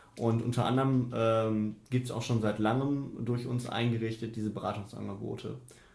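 At a moderate pace with hardly any pauses, a man talks in a medium pitch and a somewhat breathy voice. His intonation is monotone and flat, and audible room echo surrounds him. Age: 20s. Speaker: student union treasurer. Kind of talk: interview. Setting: office.

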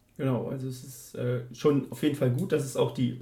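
Somewhat breathy and dark, mellow in tone, a man's medium-pitched voice keeps fairly even intonation at a moderate pace amid audible room echo. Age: 30s. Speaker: student counsellor. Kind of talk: interview. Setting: office.

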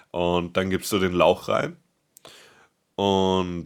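A man talks at a very slow pace in a very deep, low voice. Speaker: podcast co-host, paramedic. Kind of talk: casual chat.

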